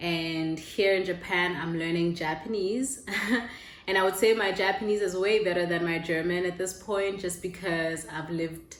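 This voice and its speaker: Amid noticeable background noise and audible room echo, a woman with a Lesotho accent speaks in a fairly low voice with fairly even intonation. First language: Sesotho. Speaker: vlogger. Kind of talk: casual chat.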